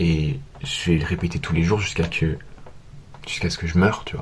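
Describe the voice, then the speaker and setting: This man's voice is very deep and low, moving at a fairly quick pace with ordinary pitch variation. There is noticeable background noise. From France. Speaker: vlogger. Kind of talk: vlog monologue.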